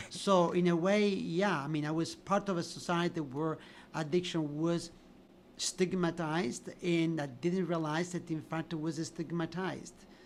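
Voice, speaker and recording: Speaking with an Italian accent, a man uses a high pitch and a monotone, flat intonation. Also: moderate pace. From Italy, Sicily. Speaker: physician and addiction researcher. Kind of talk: podcast interview.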